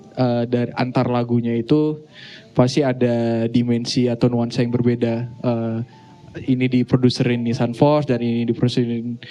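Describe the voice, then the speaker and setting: Over background music, a man talks at a moderate pace in a medium pitch, his intonation monotone and flat. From Aceh, grew up around Medan, North Sumatra. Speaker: musician, guitarist and songwriter. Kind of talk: casual live podcast interview. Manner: hesitant, many fillers.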